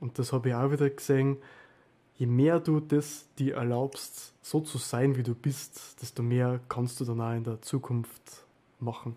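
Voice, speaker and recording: A man with a medium pitch speaks in a somewhat breathy, dark, mellow tone. His pace is fairly slow and his intonation is monotone and flat. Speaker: event host and moderator. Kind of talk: moderating a group talk. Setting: video call.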